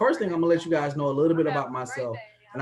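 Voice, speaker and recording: A man with an American accent, fairly high in pitch, with ordinary pitch variation. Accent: country twang. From US South, Atlanta. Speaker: sales presenter, business mentor. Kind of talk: sales pitch. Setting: video call. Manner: animated.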